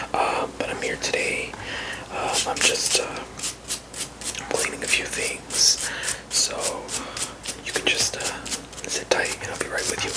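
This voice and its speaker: A man whispers at a very slow pace in a relaxed tone, leaving long, frequent pauses. Noticeable background noise is present. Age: 30s. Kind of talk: ASMR barber roleplay, casual talk to the listener. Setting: close-up whisper/ASMR recording at home. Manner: soft-spoken, relaxed, rambling.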